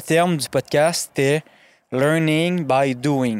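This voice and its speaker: A man's fairly high voice, with ordinary pitch variation, comes through with a dry, close sound and no echo. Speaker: podcast host. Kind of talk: casual chat. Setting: studio.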